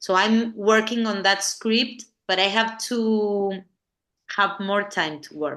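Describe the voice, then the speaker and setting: A woman speaks very slowly with an Argentine accent, her medium-pitched voice bright and sharp and her intonation fairly even. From Argentina, La Plata. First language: Spanish. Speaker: film director. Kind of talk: interview conversation. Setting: podcast interview. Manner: halting, many repetitions and fillers.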